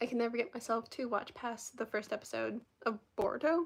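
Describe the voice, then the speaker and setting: Squeaky with vocal fry, a woman's voice sits at a fairly high pitch. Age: 20s. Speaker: live streamer. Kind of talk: casual chat. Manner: fast.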